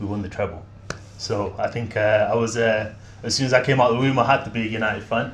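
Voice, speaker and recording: In a Mancunian accent, a somewhat breathy man talks at a very fast pace with fairly even intonation and audible room echo. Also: medium pitch for a man. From Manchester, England. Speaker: football fan guest. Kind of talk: casual chat.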